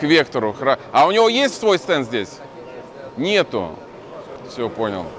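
Light background noise surrounds a man with an animated tone and very wide pitch swings. He takes long, frequent pauses. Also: fairly slow pace. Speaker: channel host and movement activist. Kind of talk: on-location vlog and street interviews. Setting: crowded exhibition hall. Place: hall. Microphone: phone near.

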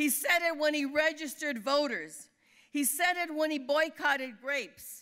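Raised and projected, a woman's high-pitched voice carries a bright, sharp tone and an American accent, with fairly even intonation, a moderate pace and a quiet background. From California Central Valley; California. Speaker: labor leader. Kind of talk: award acceptance speech. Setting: dinner event on stage. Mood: earnest, inspiring. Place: hall. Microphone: podium.

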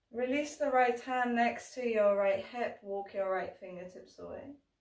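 At a moderate pace and with ordinary pitch variation, a woman speaks over a quiet background with audible room echo. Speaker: yoga teacher. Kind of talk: guided yoga instruction. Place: home room. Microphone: camera far.

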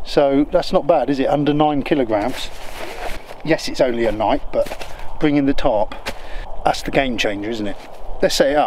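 A man speaks at a moderate pace with ordinary pitch variation. Long, frequent pauses break up his speech over light background noise. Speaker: wild camping vlogger. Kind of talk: casual vlog chat.

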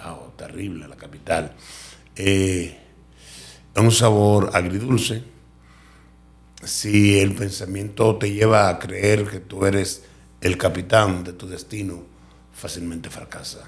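The voice is somewhat breathy and monotone, with flat intonation, big swings in loudness, and audible room echo. It moves at a very slow pace with long, frequent pauses. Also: man, fairly low pitch for a man. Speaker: radio and TV presenter. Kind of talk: interview testimony.

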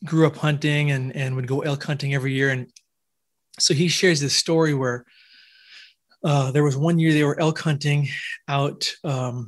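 Against a quiet background, a man with an American accent speaks in a somewhat breathy, fairly high voice with fairly even intonation. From US Pacific Northwest, Washington State. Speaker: researcher of ancient giants. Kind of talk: casual interview storytelling.

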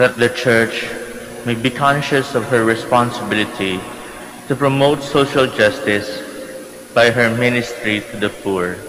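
This voice moves at a fairly slow pace with ordinary pitch variation and long, frequent pauses. Noticeable background noise sits behind it. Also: man. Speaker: priest. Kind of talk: gospel reading at mass. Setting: church.

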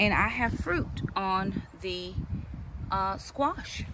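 Noticeable background noise runs through the clip. A woman is the one talking. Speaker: home gardener vlogger. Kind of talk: casual vlog chat. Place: garden. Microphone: phone near.

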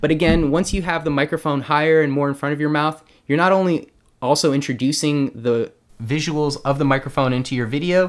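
Behind him, all is quiet. The man moves fairly quickly, his intonation fairly even. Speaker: tech tutorial host. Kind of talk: tutorial. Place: home room. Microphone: studio mic.

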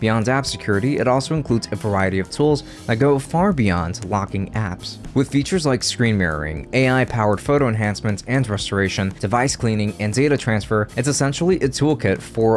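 A man's fairly low-pitched voice at a fairly quick pace with hardly any pauses, faint music in the background. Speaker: tech youtuber. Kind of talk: tutorial. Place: home room. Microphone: studio mic.

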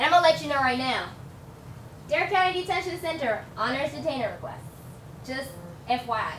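The speaker talks at a fairly quick pace with lively intonation, leaving long, frequent pauses. The room echo is audible, and there is light background noise. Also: woman, high pitch for a woman. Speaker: immigration lawyer. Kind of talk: public panel presentation. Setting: public forum with live audience. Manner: casual, uses many fillers. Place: meeting room.

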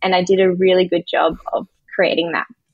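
Recorded against a quiet background, a woman speaks in a dry sound with no echo. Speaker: podcast guest, coach. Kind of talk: interview answer. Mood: open, reflective. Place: home room. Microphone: video call.

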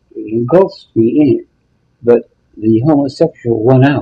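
With an American accent, a man speaks fairly slowly in a fairly high, dark, mellow voice that is somewhat breathy, with ordinary pitch variation over light background noise. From rural northeast Ohio. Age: 80s+. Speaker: retired musician and piano teacher; piano teacher. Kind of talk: oral history interview. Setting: nursing home. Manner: halting. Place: home room.

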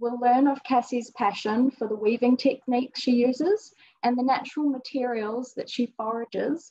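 A woman talks at a moderate pace with a high pitch. The background is quiet. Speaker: event host introducing artist. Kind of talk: formal introduction speech. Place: hall. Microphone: video call.

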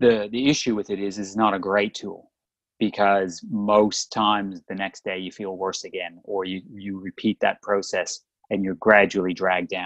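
With an Australian accent, a man speaks at a fairly low pitch in a monotone, flat intonation, his loudness swinging widely, in a dry, close sound with no echo against a quiet background. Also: moderate pace. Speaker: podcast co-host, chiropractor. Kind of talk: casual chat.

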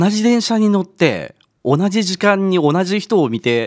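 A high-pitched man's voice over a quiet background. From Japan, Kagawa Prefecture; Japan. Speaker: company CEO; guest. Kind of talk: radio interview. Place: studio. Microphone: studio mic.

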